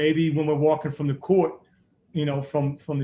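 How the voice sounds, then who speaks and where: A man's voice sits fairly high. There is a somewhat breathy quality to it. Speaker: basketball coach. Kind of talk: interview. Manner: fast; animated.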